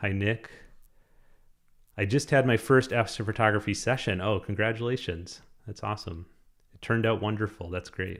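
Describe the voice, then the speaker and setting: With a Minnesotan accent, a man speaks in a fairly low pitch with ordinary pitch variation. He takes long, frequent pauses on a very clean recording with a silent background. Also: moderate pace. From Minnesota, Minneapolis. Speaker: astrophotography YouTuber. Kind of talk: live stream chat.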